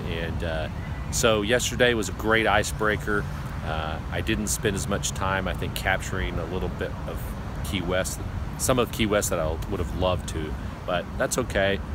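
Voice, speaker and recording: A man speaks at a moderate pace. The sound is dry with no echo, and there is noticeable background noise. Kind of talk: casual vlog chat. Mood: reflective, thoughtful. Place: street. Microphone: phone near.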